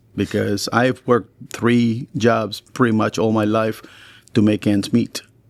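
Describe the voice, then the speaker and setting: A man with a Spanish accent speaks at a fairly slow pace in a flat, monotone delivery at a medium pitch. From Chile. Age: 60s. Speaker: teacher and coach. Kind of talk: podcast conversation.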